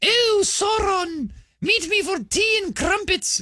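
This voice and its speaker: A female-sounding, put-on character voice at an extremely high pitch. It moves at a fairly slow pace. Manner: prim, mocking.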